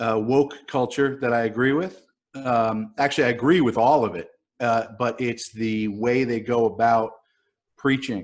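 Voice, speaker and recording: Fairly even intonation and a fairly slow pace mark this voice with an American accent. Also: man, medium pitch for a man. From New York. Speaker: writer. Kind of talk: casual chat. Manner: halting, many fillers.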